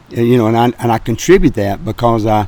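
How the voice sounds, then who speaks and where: The voice is a man's, with a dark, mellow tone. It sits at a medium pitch. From Birmingham, Alabama. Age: 70s. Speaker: grocery business owner. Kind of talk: interview. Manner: halting, many fillers.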